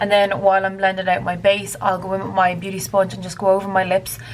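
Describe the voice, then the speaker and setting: A woman's medium-pitched voice at a fairly quick pace, with noticeable background noise. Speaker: beauty vlogger. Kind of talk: makeup tutorial. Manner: stutters on camera.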